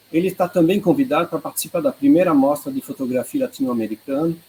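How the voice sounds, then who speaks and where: Speaking at a fairly quick pace in a Swiss accent, a man with a dark, mellow tone and a fairly high pitch swings his pitch very widely. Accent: non-native Portuguese, Swiss. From Switzerland, Geneva. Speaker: art researcher, presenter. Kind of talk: online presentation. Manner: halting.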